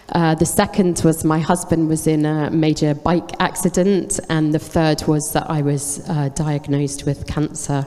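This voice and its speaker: Very deep, low pitch from a woman, fairly slow and monotone, flat in intonation, with noticeable background noise. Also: hardly any pauses. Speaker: charity consultant giving testimony. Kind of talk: testimony.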